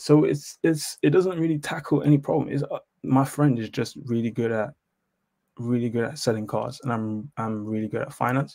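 In a British accent, a man speaks with a dark, mellow tone. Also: medium pitch for a man, ordinary pitch variation, moderate pace. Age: 20s. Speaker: accountant. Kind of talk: call-in question.

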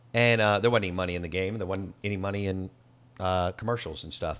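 A man with a Southern US accent sounds animated, his intonation lively, on a very clean recording with a silent background. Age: 40s. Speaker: sports radio host. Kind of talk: casual chat.

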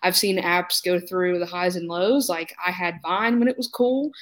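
A woman's normal speaking voice, medium in pitch, with an American accent. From North Carolina. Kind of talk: roundtable discussion.

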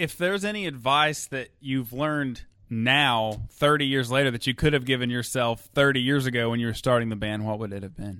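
Using a plain, everyday voice, a medium-pitched man speaks at a fairly quick pace with hardly any pauses. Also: ordinary pitch variation. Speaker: podcast host interviewer. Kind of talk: interview.

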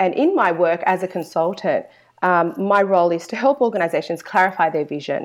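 Her pitch varying in an ordinary way, a woman talks with an Australian accent. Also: quiet background. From Australia, Sydney. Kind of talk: interview.

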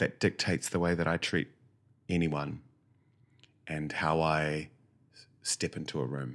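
Speaking slowly with a New Zealand accent, a man uses a very deep, low voice with vocal fry and flat, monotone intonation, his loudness swinging widely between long, frequent pauses. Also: very clean recording, silent background. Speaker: actor. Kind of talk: interview.

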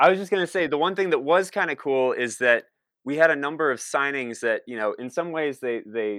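Speaking at a fairly quick pace with lively intonation, a man talks in a Midwestern American accent. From Northwest Ohio (Toledo). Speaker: TV writer and musician. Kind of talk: casual chat.

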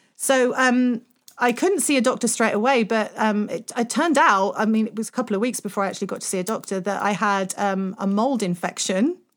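A woman with a plain, everyday voice speaks at a fairly quick pace with hardly any pauses, using ordinary pitch variation at a fairly high pitch in a very clean recording with a silent background. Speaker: podcast host and voice coach. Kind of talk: casual interview.

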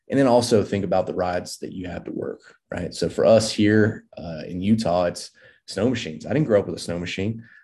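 With an American accent, a man talks at a fairly quick pace in a normal speaking voice, fairly low in pitch with ordinary pitch variation, his loudness swinging widely. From rural North Carolina (near Mount Airy). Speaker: wilderness medicine and survival instructor, former firefighter. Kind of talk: casual interview conversation.

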